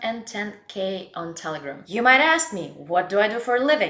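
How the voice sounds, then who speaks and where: Amid noticeable background noise, a woman with a non-native accent speaks at a moderate pace and medium pitch, her voice swinging very widely in pitch. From Russia. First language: Russian. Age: 20s. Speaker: blogger and life coach. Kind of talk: casual self-introduction to camera.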